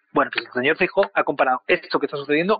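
It is an ordinary speaking voice. A man talks at a fairly high pitch with lively intonation. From Spain. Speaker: political analyst. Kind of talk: interview.

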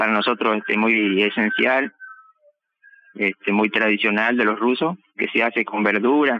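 A man of medium pitch talks at a fairly slow pace with fairly even intonation. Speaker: farmer. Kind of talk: interview testimony. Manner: halting.

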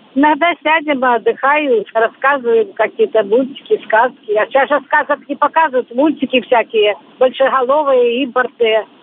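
Her high-pitched voice, with ordinary pitch variation, carries this woman along at a moderate pace. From Belarus. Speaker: street cleaner, retired teacher. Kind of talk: interview.

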